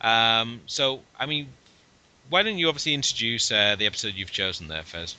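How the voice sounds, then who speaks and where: Someone with a British accent talks using very wide pitch swings. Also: man, medium pitch for a man, moderate pace. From UK. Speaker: podcast co-host. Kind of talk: casual chat.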